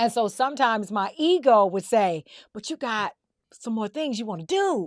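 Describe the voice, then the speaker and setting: With an American accent and an animated tone, the speaker moves at a moderate pace through very wide pitch swings and big swings in loudness, captured as a dry, close sound with no echo on a very clean recording with a silent background. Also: woman, fairly high pitch for a woman. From US South. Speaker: podcast host. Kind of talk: casual chat.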